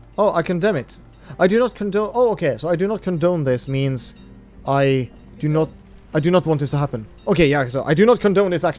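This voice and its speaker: A man speaks with a Norwegian accent at a fairly quick pace. Music plays in the background. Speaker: video game streamer. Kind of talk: casual live-stream commentary. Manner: halting.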